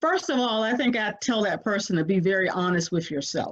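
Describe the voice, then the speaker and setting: In an unremarkable speaking voice, a woman talks at a moderate pace and medium pitch. Her intonation is lively, and the background is quiet. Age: 60s. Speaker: family caregiver. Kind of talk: interview.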